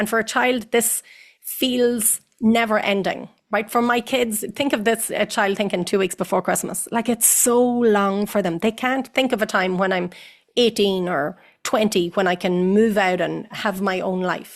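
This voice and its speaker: Someone with an Irish accent speaks with ordinary pitch variation against a quiet background. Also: woman, fairly high pitch for a woman. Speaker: psychotherapist. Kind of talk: interview answer. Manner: fast.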